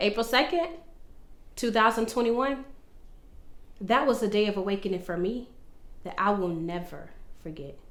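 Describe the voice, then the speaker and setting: A woman with a fairly high pitch speaks at a moderate pace with lively intonation. She leaves long, frequent pauses, and room echo is audible. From Florida, Orlando. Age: 20s. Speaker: vlogger. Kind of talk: personal testimony monologue. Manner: animated.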